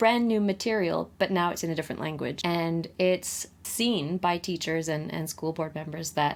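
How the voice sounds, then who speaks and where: This woman has an unremarkable speaking voice with a Canadian accent, a fairly low pitch, ordinary pitch variation and a fairly slow pace. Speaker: podcast co-host. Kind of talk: casual chat.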